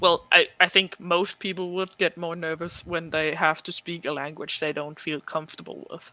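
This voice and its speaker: A non-native accent with a bright, sharp tone, monotone, flat intonation, big swings in loudness and hardly any pauses, in a dry, close sound with no echo. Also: man, high pitch for a man, moderate pace, very clean recording, silent background. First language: not English. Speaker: cosplayer. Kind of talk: casual chat.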